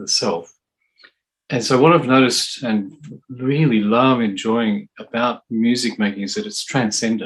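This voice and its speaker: With an Australian accent, a man talks at a medium pitch using lively intonation. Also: fairly slow pace. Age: 60s. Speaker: drummer and percussionist. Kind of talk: interview.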